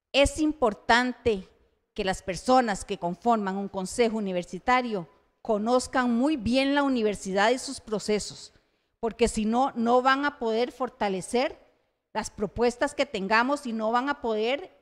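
Against a quiet background, a woman with an unremarkable speaking voice talks at a fairly slow pace with a fairly high pitch and ordinary pitch variation. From Costa Rica. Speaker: university council candidate, tourism academic; council candidate. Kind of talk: campaign presentation at public forum. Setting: university centre hall, live-streamed. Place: classroom. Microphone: handheld.

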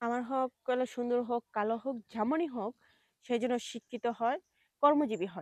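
A woman's high-pitched voice, dry and close with no echo. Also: ordinary pitch variation. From Bangladesh, Kushtia. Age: 30s. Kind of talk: interview.

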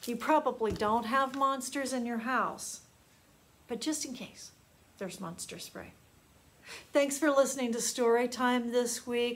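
A woman speaks at a high pitch with fairly even intonation. Her pace is fairly slow, broken by long, frequent pauses. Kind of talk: storytime reading to children. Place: classroom. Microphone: phone near.

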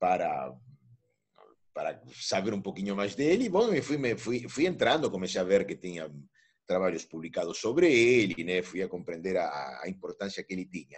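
Moderate-paced speech from a man, with a quiet background. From Argentina. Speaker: philosophy professor. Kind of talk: interview. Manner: halting. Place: home room. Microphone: video call.

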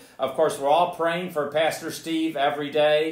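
A man talks loudly, with audible room echo around his voice. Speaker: pastor. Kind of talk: sermon. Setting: church. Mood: warm, friendly. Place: church. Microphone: camera far.

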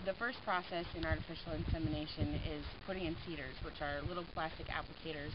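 A woman talking at a very fast pace over loud background noise. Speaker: farm family member explaining cattle breeding. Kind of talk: video narration. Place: farm machine. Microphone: phone near.

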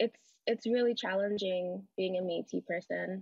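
A woman speaks with fairly even intonation against a quiet background. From Edmonton, Alberta; Alberta. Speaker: panelist. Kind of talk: personal talk. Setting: video call. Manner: casual, laughs often. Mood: earnest, reflective. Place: home room. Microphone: video call.

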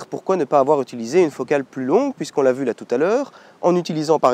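A man with a fairly high pitch and a dark, mellow tone speaks with lively intonation in a dry, close sound with no echo. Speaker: photography youtuber. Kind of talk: tutorial. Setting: outdoors in a wood.

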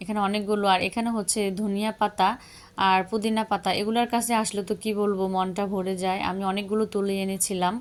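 A woman's medium-pitched voice, flat and monotone throughout. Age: young. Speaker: home gardening vlogger. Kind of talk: vlog narration. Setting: rooftop garden outdoors.

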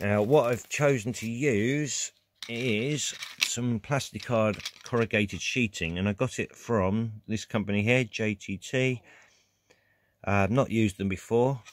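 With a dry sound and no echo, a man speaks at a fairly slow pace with ordinary pitch variation. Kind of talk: tutorial. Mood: relaxed, matter-of-fact. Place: workshop. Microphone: phone near.

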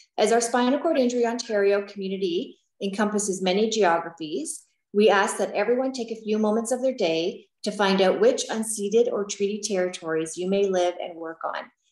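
Audible room echo surrounds a woman speaking at a fairly quick pace with ordinary pitch variation. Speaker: peer program coordinator, webinar host. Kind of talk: webinar moderation. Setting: video call. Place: home room. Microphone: video call.

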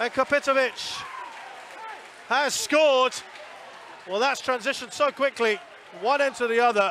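A raised, projected voice speaks at a moderate pace with ordinary pitch variation and long, frequent pauses. Crowd noise fills the background. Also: man, extremely high pitch for a man. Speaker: football match commentator. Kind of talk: live sports commentary. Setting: stadium commentary. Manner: builds tension then erupts on goals.

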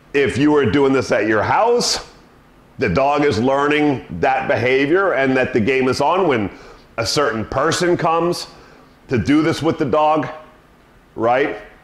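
A man's fairly slow speech with long, frequent pauses and audible room echo. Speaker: dog trainer. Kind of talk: tutorial. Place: home room. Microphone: camera far.

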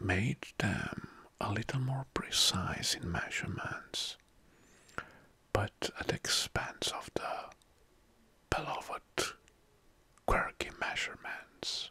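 Whispering, a man goes at a very slow pace. His words are broken by long, frequent pauses. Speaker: ASMR creator. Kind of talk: soft-spoken ASMR talk on general knowledge. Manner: soft-spoken, close-mic ASMR voice. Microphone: studio mic.

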